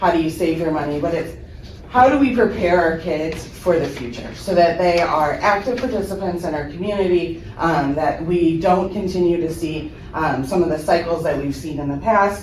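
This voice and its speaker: Her voice is fairly low, with ordinary pitch variation at a moderate pace. Audible room echo and noticeable background noise surround this woman's speech. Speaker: high school finance teacher. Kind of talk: presentation at a school board meeting. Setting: school board meeting room, speaking without mic. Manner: loud; many filler ums.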